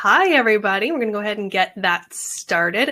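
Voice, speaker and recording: Her voice fairly high and her tone bright and sharp, a woman speaks with lively intonation. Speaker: Instagram marketing consultant, presenter. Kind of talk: webinar presentation. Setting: online webinar. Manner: fast.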